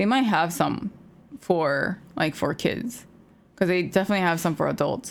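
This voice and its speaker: The woman's fairly low voice carries vocal fry and lively intonation at a moderate pace. Her loudness stays very even. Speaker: streamer and podcast co-host. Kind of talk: casual chat.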